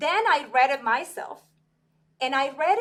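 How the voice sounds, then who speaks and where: At a moderate pace, a woman with a Spanish accent speaks at a high pitch with very wide pitch swings. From Venezuela. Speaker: sports executive. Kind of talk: podcast interview.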